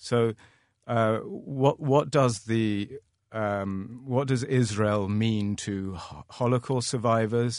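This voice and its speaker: A man with a London accent at a medium pitch, very slow, over a quiet background. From London, England. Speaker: art gallery owner. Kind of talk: panel discussion. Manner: halting, many fillers.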